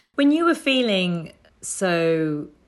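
With a British accent, a woman speaks using lively intonation. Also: quiet background. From UK, British Indian family. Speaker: podcast presenter. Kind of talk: interview.

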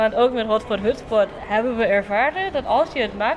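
Over noticeable background noise, a woman speaks at a moderate pace in a high pitch with lively intonation. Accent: non-native. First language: not Dutch (speaking Dutch). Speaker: social entrepreneur and summer school student. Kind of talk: interview.

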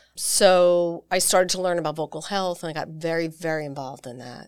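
An ordinary speaking voice with an American accent, using ordinary pitch variation at a moderate pace. The recording is very clean, with a silent background. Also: woman. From US Northeast, New York. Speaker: singer and vocal coach. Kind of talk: casual interview. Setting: studio.

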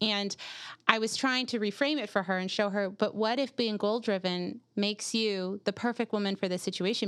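With fairly even intonation, a woman speaks at medium pitch in a very clean recording with a silent background. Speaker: life coach. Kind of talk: casual chat. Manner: loud; laughs a lot.

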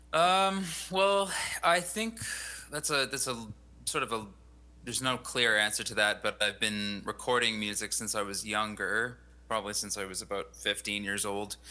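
A man with a Western Canadian accent, medium pitch and a bright, sharp tone, lively intonation at a moderate pace, on a very clean recording with a silent background. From British Columbia, Canada (Fraser Valley). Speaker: singer-songwriter and composer. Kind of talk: casual interview.

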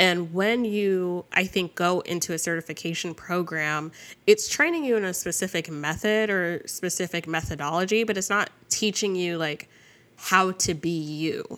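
On a very clean recording with a silent background, a woman with an unremarkable speaking voice talks at a moderate pace in a medium pitch with ordinary pitch variation and an American accent. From New Jersey. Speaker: sex educator and business coach. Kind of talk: casual interview.

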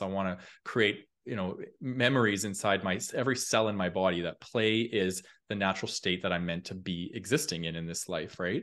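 Over a quiet background, a man with a plain, everyday voice speaks at a moderate pace with a fairly low pitch and ordinary pitch variation. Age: 30s. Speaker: personal growth content creator. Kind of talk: casual chat.

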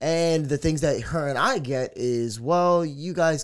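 A man uses an ordinary speaking voice with lively intonation at a fairly slow pace, on a very clean recording with a silent background. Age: 20s. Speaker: radio personality and DJ. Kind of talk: casual chat.

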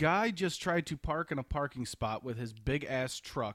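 The man has a normal speaking voice at a medium pitch, talking at a moderate pace in a dry, close sound with no echo. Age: 30s. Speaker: podcast co-host. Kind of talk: casual chat.

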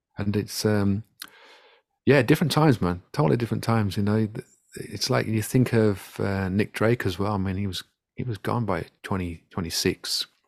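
A man with an English Midlands accent and ordinary pitch variation, on a very clean recording with a silent background. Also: moderate pace. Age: 40s. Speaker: singer-songwriter. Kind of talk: casual chat. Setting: home studio. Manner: halting, many fillers and repeats.

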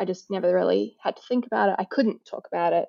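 A woman is speaking. She talks with a New Zealand accent. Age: 40s. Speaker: donor-conceived advocate. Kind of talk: casual chat.

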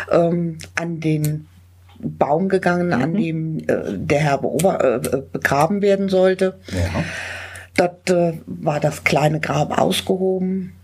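A somewhat breathy woman at a fairly low pitch and a very slow pace. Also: ordinary pitch variation. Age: 60s. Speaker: funeral celebrant. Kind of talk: interview. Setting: on location at a charity office.

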